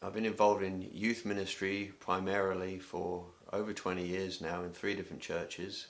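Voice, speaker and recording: A man with an English accent speaks in a very deep, low voice with monotone, flat intonation at a moderate pace, and audible room echo can be heard. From England. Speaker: youth ministry director. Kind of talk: self-introduction video. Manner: hesitant, many filler words.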